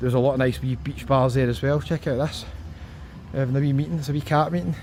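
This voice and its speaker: A man speaks very fast with a strong Scottish accent. His pitch varies in an ordinary way, with long, frequent pauses. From Scotland. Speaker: travel vlogger. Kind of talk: travel vlog walkabout. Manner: animated.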